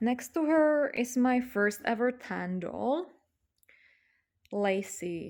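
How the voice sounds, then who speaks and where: With long, frequent pauses and a very slow pace, a woman with a non-native accent uses lively intonation and a high pitch on a very clean recording with a silent background. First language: not English. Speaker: doll hobby vlogger. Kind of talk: casual show-and-tell vlog. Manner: casual with many fillers.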